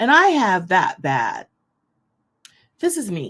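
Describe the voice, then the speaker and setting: This woman's voice is loud. Its pitch leaps up and down very widely. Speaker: online ministry host. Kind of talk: inspirational teaching to an online audience.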